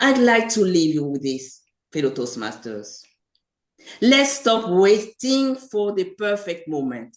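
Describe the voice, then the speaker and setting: A woman with a medium pitch talks at a very slow pace. Her pitch swings very widely. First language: French. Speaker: public speaking club member. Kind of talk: prepared speech.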